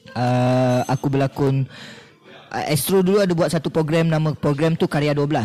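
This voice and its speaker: Through noticeable background noise, a man talks at a moderate pace and a fairly high pitch, with ordinary pitch variation. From Malaysia, Negeri Sembilan (Seremban). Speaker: actor. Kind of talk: casual chat. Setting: cafe.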